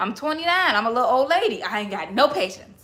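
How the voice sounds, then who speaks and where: Over noticeable background noise, a woman speaks in an animated tone at a fairly quick pace, her pitch swinging very widely. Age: 20s. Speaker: livestreamer. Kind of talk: casual livestream chat.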